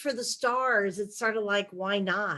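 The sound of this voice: A woman speaks at a fairly slow pace. Her tone is fairly bright.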